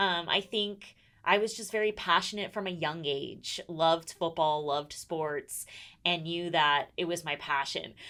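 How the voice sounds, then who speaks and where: A woman speaks at a fairly slow pace with fairly low pitch. Her tone is bright and sharp, with ordinary pitch variation. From US West Coast, San Diego. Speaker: sports reporter and TV host. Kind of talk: podcast interview. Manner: enthusiastic.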